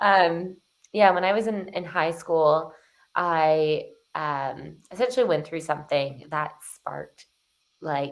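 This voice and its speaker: A woman with a Canadian accent speaks very slowly with long, frequent pauses. Her fairly low pitch shows ordinary variation. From Canada, Toronto. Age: 20s. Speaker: transformation coach. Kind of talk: podcast interview.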